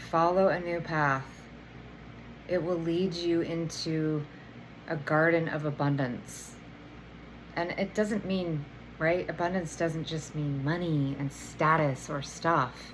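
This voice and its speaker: A woman with a very deep, low voice speaks at a very slow pace with fairly even intonation and long, frequent pauses, in audible room echo. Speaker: energy healer and oracle card reader. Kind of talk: tarot oracle reading. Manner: casual, filler-heavy.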